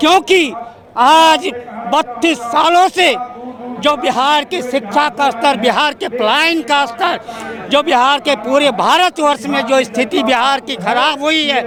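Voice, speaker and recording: There is noticeable background noise behind a man speaking. His pitch is extremely high, with ordinary pitch variation. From Bihar, Katihar. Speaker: party supporter at rally. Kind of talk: street interview.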